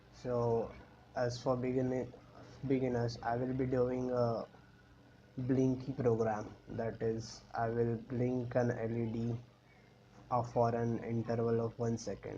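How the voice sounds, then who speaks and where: This man speaks very slowly, with long, frequent pauses and a monotone, flat delivery. His medium-pitched voice has a dark, mellow tone and is somewhat breathy. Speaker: electronics tutorial maker. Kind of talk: tutorial screencast narration. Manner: casual, hesitant.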